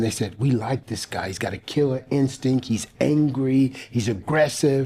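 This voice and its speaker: Somewhat breathy, a man talks at a medium pitch with a dark, mellow tone. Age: 60s. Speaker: pastor and motivational speaker. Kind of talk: interview testimony. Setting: studio. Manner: halting, many fillers.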